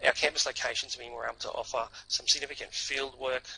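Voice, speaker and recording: A man with a strong North Queensland accent speaks over noticeable background noise. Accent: strong Australian (North Queensland). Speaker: university representative. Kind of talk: presentation. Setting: online seminar. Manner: hesitant, frequent fillers.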